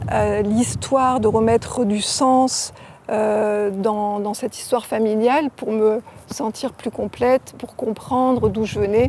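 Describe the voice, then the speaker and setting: Noticeable background noise surrounds a woman speaking at a fairly slow pace. Her fairly high voice stays monotone, with flat intonation. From southern France, Var (La Seyne-sur-Mer). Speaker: author. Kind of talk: interview. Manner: halting.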